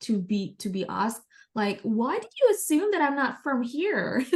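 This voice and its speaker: Against a quiet backdrop, a woman talks with an American accent. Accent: often taken for American. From Indonesia (Jakarta). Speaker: entrepreneur. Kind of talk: interview conversation.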